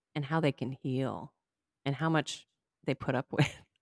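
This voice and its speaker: With vocal fry and fairly even intonation, a woman speaks in a very deep, low voice, the sound dry and close with no echo. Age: 40s. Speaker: podcast host. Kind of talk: casual interview chat.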